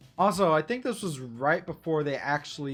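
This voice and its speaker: With music playing in the background, a woman speaks in an American accent with lively intonation. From Texas. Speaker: streamer. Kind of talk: casual chat. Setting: livestream. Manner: casual, halting.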